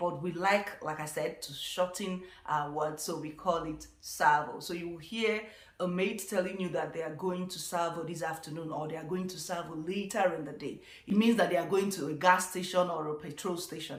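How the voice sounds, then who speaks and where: Over noticeable background noise, a woman with a fairly low voice speaks at a moderate pace with fairly even intonation and big swings in loudness. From Nigeria. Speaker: vlogger. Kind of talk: casual talk to camera.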